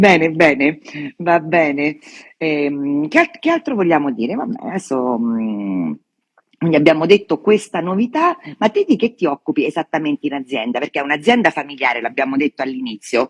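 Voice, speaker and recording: The speech moves at a moderate pace, with pitch that swings very widely. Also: woman, very deep, low pitch for a woman. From Veneto, Treviso. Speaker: wine journalist. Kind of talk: interview. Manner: casual, hesitant.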